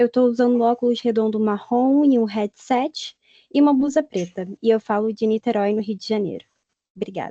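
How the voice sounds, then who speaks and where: A woman speaks with a dark, mellow tone at a fairly high pitch. The sound is dry and close, with no echo. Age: 20s. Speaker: panelist. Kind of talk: self-description at online panel.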